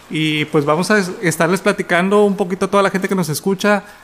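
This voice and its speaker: Fairly even intonation marks a man's fairly quick speech, heard over noticeable background noise. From Mexico, Tampico. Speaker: podcast co-host. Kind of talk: casual chat.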